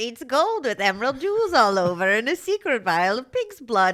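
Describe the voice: A put-on character voice from a female-sounding speaker, high-pitched and raspy, with very wide pitch swings at a moderate pace.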